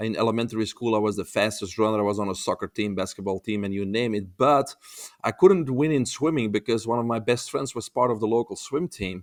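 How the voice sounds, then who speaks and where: Very fast speech in a Belgian accent on a very clean recording with a silent background. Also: man, medium pitch for a man, ordinary pitch variation, dry, close sound with no echo. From Belgium. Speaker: holistic health expert. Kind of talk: podcast interview. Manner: hesitant, with frequent uh fillers.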